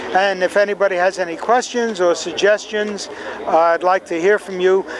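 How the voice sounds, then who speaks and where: A New York accent, fairly even intonation, and a dry sound with no echo over noticeable background noise. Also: man. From New York City (Bronx). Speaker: telescope designer. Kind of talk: interview. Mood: warm, good-humored. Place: open country.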